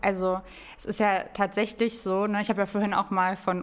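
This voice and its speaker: At a moderate pace, a woman speaks with a medium pitch. Noticeable background noise runs underneath. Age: 20s. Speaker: real estate financing advisor at a bank. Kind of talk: podcast interview.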